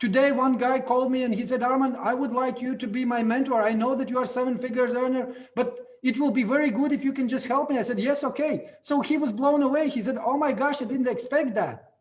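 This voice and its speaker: A man with a Latvian accent speaks at a very fast pace with hardly any pauses, his extremely high voice monotone and flat, with audible room echo. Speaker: network marketing leader. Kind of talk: event speech.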